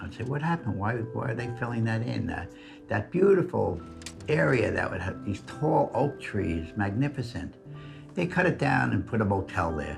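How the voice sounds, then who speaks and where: Music plays in the background while a man talks at a moderate pace. He has a New York accent and very wide pitch swings. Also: fairly low pitch for a man. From New York City, Queens. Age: 80s+. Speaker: conservationist. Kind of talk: documentary interview answer.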